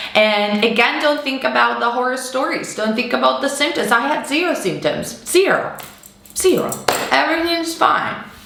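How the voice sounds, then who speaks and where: A high-pitched woman with lively intonation at a moderate pace, amid noticeable background noise and audible room echo. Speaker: manifestation coach and vlogger. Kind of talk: casual monologue vlog. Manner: free-flowing.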